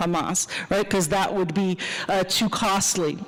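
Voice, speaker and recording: Amid noticeable background noise and audible room echo, a woman of medium pitch speaks at a moderate pace. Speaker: professor. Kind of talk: lecture.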